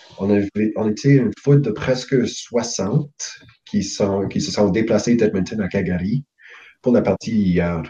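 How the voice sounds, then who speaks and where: At a moderate pace, a man puts on a hoarse character voice pitched fairly low. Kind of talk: casual interview.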